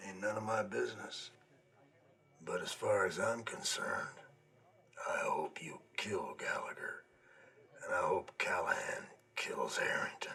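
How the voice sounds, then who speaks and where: Putting on a character voice, a man speaks raspy and at an extremely high pitch, keeping a moderate pace. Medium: short film. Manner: plainspoken.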